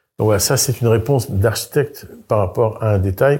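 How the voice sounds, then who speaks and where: At a fairly quick pace, the voice is dark, mellow and somewhat breathy, with ordinary pitch variation. The recording is very clean, with a silent background. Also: man. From France, Brittany. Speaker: architect. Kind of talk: interview. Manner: halting, with frequent repetitions.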